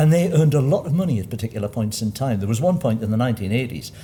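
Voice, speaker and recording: Somewhat breathy, with a dark, mellow tone and lively intonation, a man speaks in a slight Geordie accent. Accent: mild, posh Geordie. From Newcastle area, north-east England. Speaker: panellist. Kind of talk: panel discussion.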